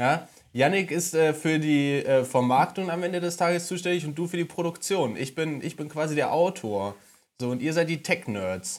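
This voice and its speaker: On a very clean recording with a silent background, a man speaks at a moderate pace in an unremarkable speaking voice. His pitch is fairly high, with ordinary pitch variation. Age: 20s. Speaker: podcast co-host, former flatmate. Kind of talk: casual chat.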